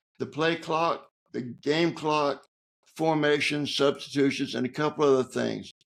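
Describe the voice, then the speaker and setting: A man talks with a Southern US accent at a fairly slow pace. His pitch is fairly high and moves with ordinary variation. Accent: Southern American. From Georgia, USA. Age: 80s+. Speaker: author, Navy veteran. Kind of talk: interview answer, storytelling. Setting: home studio.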